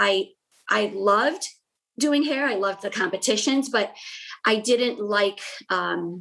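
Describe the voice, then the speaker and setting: This woman's voice sits at a fairly high pitch. Its pitch variation is ordinary. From US, Connecticut, Portuguese immigrant family. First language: Portuguese. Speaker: salon owner. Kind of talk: interview storytelling. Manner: halting, many fillers.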